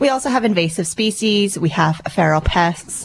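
A woman speaks at a moderate pace with lively intonation. There is noticeable background noise behind her. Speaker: event organiser and producer. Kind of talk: radio interview, casual chat.

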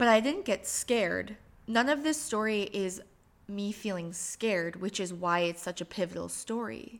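A woman with an American accent speaks at a moderate pace in an unremarkable speaking voice, her medium pitch showing ordinary variation. The recording is very clean, with a silent background. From Michigan, US Midwest. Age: 30s. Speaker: podcast host. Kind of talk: personal monologue.

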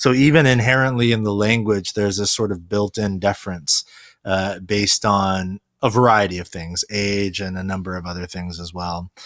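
In a very clean recording with a silent background, a man with a plain, everyday voice speaks at a moderate pace, fairly low in pitch, with ordinary pitch variation and big swings in loudness. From South Korea, raised in US. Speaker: pastor. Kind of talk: podcast interview.

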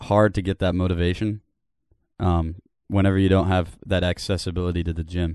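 This man's very deep, low voice stays monotone and flat, moving at a moderate pace with long, frequent pauses. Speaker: podcast co-host. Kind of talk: casual chat.

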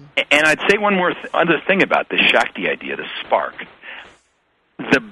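A man with an American accent. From United States. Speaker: yoga teacher and author. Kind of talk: interview. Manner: halting.

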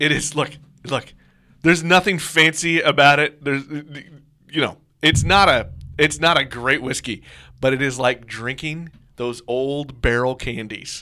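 On a very clean recording with a silent background, a man with an American accent speaks at a fairly slow pace in a bright, sharp tone at a fairly high pitch with ordinary pitch variation. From US Midwest, Kansas City. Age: 40s. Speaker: podcast co-host and producer. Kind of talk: casual chat.

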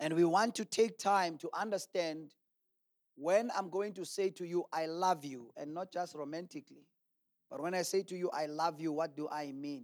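A man speaks in a high pitch at a moderate pace. His pitch varies in an ordinary way. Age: 40s. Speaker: pastor. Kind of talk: sermon.

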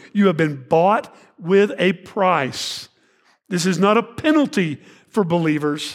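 With a Texan accent, a man speaks at a fairly slow pace and a high pitch, his intonation lively, on a very clean recording with a silent background. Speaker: pastor. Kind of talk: sermon. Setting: church.

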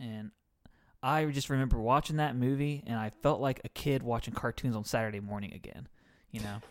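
In a normal speaking voice, a man of medium pitch speaks at a fairly quick pace with ordinary pitch variation and big swings in loudness, the recording very clean with a silent background. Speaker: podcast co-host. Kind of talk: casual banter, comedic chat. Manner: joking, playful.

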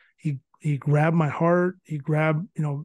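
A man with an American accent and a normal speaking voice talks at a moderate pace in a fairly high pitch with fairly even intonation against a quiet background. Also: dry, close sound with no echo. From California. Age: 40s. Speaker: former baseball player and scout. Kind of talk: casual interview.

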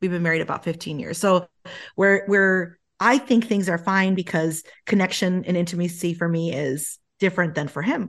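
Over a quiet background, a woman with a fairly low pitch speaks at a moderate pace. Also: ordinary pitch variation. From Colombian-American. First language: Spanish. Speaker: author and speaker. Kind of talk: casual chat.

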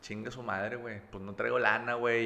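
Audible room echo follows a man whose tone is bright and sharp. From Mexico, Monterrey (with childhood in Campeche and Veracruz). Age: 30s. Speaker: recovered drug addict, advertising creative. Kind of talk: testimony.

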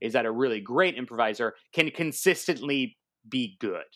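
A man with an American accent talks at a moderate pace, his medium pitch carried by lively intonation. The recording is very clean with a silent background. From US West Coast, San Diego, California. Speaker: comedian, improv teacher and actor. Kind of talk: casual interview chat. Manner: halting, many fillers.

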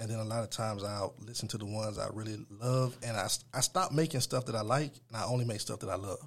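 A man talks at a very fast clip with hardly any pauses, his medium-pitched, somewhat breathy voice showing ordinary pitch variation. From Atlanta area, Georgia (Stone Mountain). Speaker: music producer and rapper. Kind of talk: interview.

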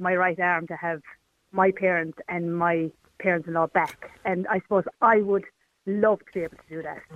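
In an Irish accent, a woman speaks at a moderate pace with a medium pitch. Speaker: caller. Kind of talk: radio phone-in discussion. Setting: phone call.

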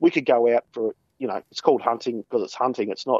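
A man talks at a very fast pace. His pitch sits at a medium level. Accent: Australian. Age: 30s. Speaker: hunter and shooting blogger. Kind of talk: casual interview.

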